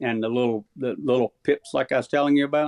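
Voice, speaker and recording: A man with an American accent, a normal speaking voice, medium pitch and fairly even intonation. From Missouri, US Midwest. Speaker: turkey calling champion. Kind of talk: casual chat.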